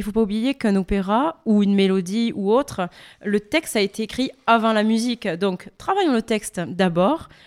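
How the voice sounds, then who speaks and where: A woman with a plain, everyday voice talks at a moderate pace and medium pitch, with ordinary pitch variation. The sound is dry and close, with no echo. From France. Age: young. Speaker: opera singer. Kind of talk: interview.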